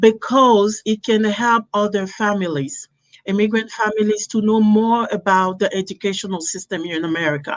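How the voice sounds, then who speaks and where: A woman talks in a French accent at a moderate pace. Her pitch is medium, with ordinary variation. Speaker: podcast host and entrepreneur. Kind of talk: interview.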